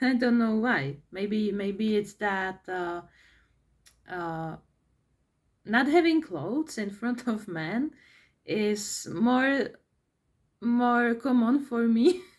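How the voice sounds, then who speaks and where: In a Czech accent, someone speaks at a very slow pace with lively intonation and long, frequent pauses, on a very clean recording with a silent background. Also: woman, fairly high pitch for a woman. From Czech Republic. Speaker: vlogger. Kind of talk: personal monologue vlog. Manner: halting, many fillers and repetitions.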